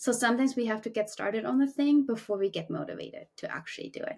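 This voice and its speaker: A woman with a German accent talks at a very fast pace. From Germany. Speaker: climbing coach and podcast co-host. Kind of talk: casual chat.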